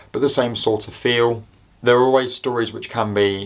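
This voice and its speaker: The speaker talks at a moderate pace with fairly even intonation and an English accent. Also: man. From England. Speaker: YouTuber. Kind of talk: casual commentary to camera. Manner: hesitant, many fillers.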